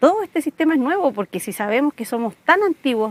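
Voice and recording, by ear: A woman talks at a fast pace, her voice dry and close with no echo.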